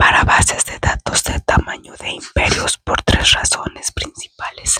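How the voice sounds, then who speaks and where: A woman whispering at a fairly slow pace. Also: dry, close sound with no echo. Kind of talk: whispered ASMR book reading. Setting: indoors, bedroom. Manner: whispered, soft-spoken, slow.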